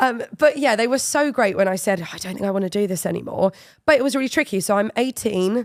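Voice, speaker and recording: A woman with an English accent talks very fast at a fairly high pitch with lively intonation. The recording is very clean with a silent background. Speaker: football media presenter. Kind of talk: interview conversation.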